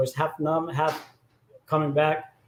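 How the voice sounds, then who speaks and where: A man speaks at a moderate pace. His pitch sits fairly high for a man. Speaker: DJ and livestream host. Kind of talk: casual livestream talk. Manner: slurred.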